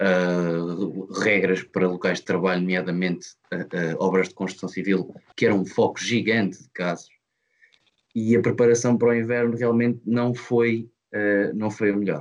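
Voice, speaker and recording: A man uses an ordinary speaking voice with a fairly low pitch and fairly even intonation. His pace is moderate, but his loudness swings widely. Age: 20s. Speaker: engineering student, podcast co-host. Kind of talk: casual debate among friends. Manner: measured, formal.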